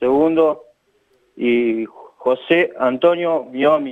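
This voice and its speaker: In a Rioplatense accent, a man speaks at a very slow pace. His fairly high pitch shows ordinary variation. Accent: Argentine Rioplatense Spanish. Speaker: local election candidate. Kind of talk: phone interview.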